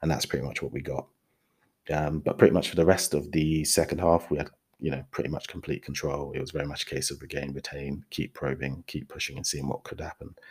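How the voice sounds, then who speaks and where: A man with a very deep, low voice and vocal fry talks at a very fast pace. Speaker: football podcast host. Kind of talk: solo football match review podcast, with a play-by-play tactical breakdown around 17:23. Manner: conversational and fluent, describing the action in vivid detail; enthusiastic and upbeat, with fan-like energy.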